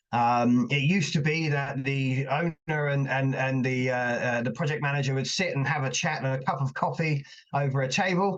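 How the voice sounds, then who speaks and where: Fairly high in pitch, a man talks with hardly any pauses. His intonation is fairly even and his loudness very even. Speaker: invited speaker on risk management. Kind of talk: webinar presentation. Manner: fast; many fillers and repetitions.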